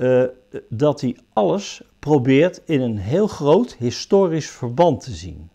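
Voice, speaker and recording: A man talks at a very slow pace in a dark, mellow tone. The background is quiet. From Netherlands, The Hague; Netherlands. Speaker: painter. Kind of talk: interview; interview answer. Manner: halting. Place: workshop. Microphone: lapel.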